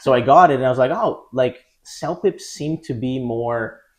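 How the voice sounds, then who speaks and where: Medium-pitched male speech with a Portuguese accent, a moderate pace, ordinary pitch variation, and a quiet background. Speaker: English test prep teacher. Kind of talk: podcast interview.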